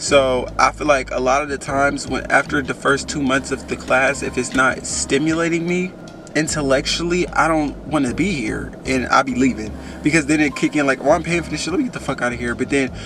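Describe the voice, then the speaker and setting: Fairly high-pitched man with an American accent, a fairly quick pace, ordinary pitch variation, and noticeable background noise. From Oakland, California. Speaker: college student and vlogger. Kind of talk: casual vlog advice. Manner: soft-spoken.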